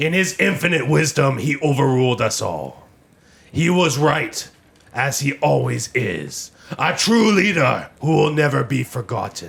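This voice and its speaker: Putting on a character voice, a man talks at a fairly high pitch and moderate pace with lively intonation. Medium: actual play. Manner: formal, stern.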